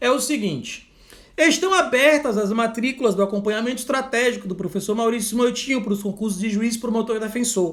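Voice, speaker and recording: Loud and at a fairly quick pace, a man talks with an extremely high pitch for a man and ordinary pitch variation, with audible room echo. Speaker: law exam prep teacher. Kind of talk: live online lecture; sales pitch. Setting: livestream.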